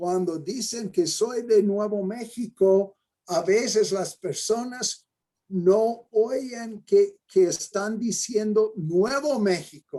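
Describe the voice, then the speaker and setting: In an American accent, a man speaks very slowly at a high pitch with ordinary pitch variation. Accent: non-Mexican, American-accented Spanish. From New Mexico, US. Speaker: mathematics education professor. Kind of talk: lecture. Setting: videoconference.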